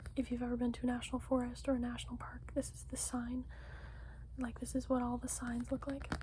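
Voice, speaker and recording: Over noticeable background noise, a soft-spoken voice talks at a very fast pace. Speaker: ASMR creator. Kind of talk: casual ASMR haul talk.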